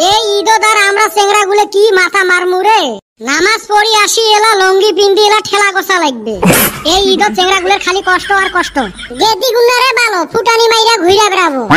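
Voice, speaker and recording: Over clear background noise, a man does a cartoonish character voice at an extremely high pitch and a moderate pace. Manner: grumbling.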